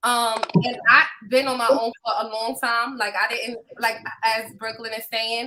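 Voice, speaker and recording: A woman speaks at a fairly slow pace in a normal speaking voice, her pitch fairly high. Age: 30s. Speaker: podcast co-host. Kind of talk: casual chat.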